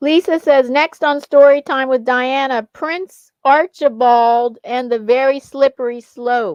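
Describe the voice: A woman speaks at a fairly slow pace in a high, slightly mellow voice. Her intonation is fairly even, and the sound is dry and close with no echo.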